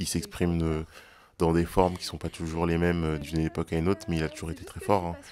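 A man talks in a very deep, low pitch, with light background noise behind him. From Paris suburbs, France (Val-de-Marne); France. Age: 20s. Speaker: student health association co-founder and activist. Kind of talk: testimony.

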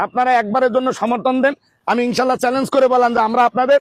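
In an animated tone, a man speaks at an extremely high pitch, the sound dry and close with no echo. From Bangladesh, Jhenaidah district. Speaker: political candidate. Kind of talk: campaign speech. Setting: gathering of workers during a meal.

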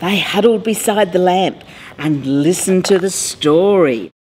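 A woman's fairly low voice at a fairly slow pace, with music in the background. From Australia. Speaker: mayor. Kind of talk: children's picture book read-aloud.

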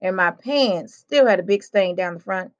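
The background stays quiet. A voice is reading aloud in a natural voice.

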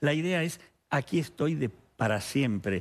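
A man speaks with very wide pitch swings. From Argentina. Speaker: psychoanalyst. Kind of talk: TV interview. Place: studio. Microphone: headset.

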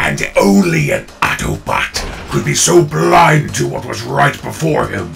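Over clear music in the background, a man uses a raspy, very deep, low put-on character voice at a fairly slow pace. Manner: contemptuous, sneering.

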